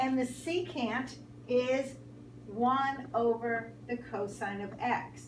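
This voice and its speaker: A woman talks at a fairly high pitch. Audible room echo and noticeable background noise surround her voice. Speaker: math teacher. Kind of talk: tutorial. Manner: animated.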